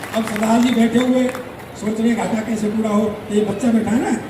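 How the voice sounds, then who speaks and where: A man's high voice at a moderate pace, monotone and flat, over noticeable background noise. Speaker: stage comedian. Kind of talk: live stand-up comedy on stage. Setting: outdoor festival stage with audience.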